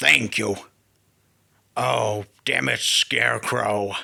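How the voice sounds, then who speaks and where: A man puts on a raspy character voice. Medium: solo performance. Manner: brash, boastful.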